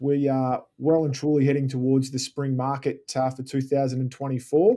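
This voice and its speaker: With an Australian accent, a man speaks at a moderate pace in a dark, mellow tone. His intonation stays monotone and flat. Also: medium pitch for a man. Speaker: podcast host, property advisor. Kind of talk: podcast host interview.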